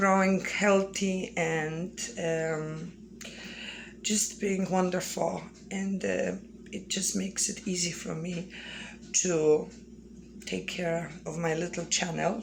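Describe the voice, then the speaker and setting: A woman with a Polish accent speaks very slowly, leaving long, frequent pauses. Her pitch is medium and her intonation fairly even. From Poland. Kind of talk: casual talk to camera.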